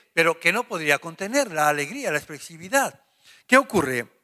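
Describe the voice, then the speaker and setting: Over a quiet background, a man uses a raised, projected voice with very wide pitch swings. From Spain. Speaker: pastor; preacher. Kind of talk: Bible study. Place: church. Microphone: handheld.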